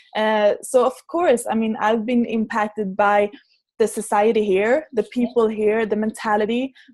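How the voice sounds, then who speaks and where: A woman speaks with a Swedish accent at a fairly high pitch and a moderate pace. Her intonation is fairly even and her loudness very even. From Sweden, small town. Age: young. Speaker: entrepreneur and speaker. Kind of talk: interview. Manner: halting.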